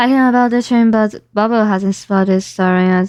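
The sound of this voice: Reading in an unforced voice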